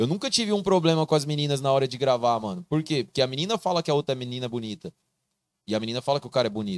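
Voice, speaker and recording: A man speaks at a very fast pace. The sound is dry and close with no echo, in a very clean recording with a silent background. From Mato Grosso, Brazil (Barra do Garças). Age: 20s. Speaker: video creator and TV voice of a football club. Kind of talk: casual podcast chat.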